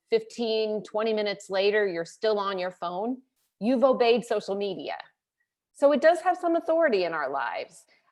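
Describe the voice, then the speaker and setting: A woman with an American accent speaks in an unremarkable speaking voice at a fairly high pitch and a moderate pace, against a quiet background. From US South, rural. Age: 50s. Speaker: conference speaker. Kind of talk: motivational talk.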